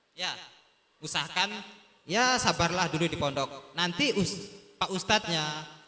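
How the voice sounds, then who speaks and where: Over noticeable background noise, a man talks at a moderate pace in an animated tone with a high pitch. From Sumbawa, West Nusa Tenggara, Indonesia. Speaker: talk show guest, former pesantren student. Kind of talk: talk show addressing students.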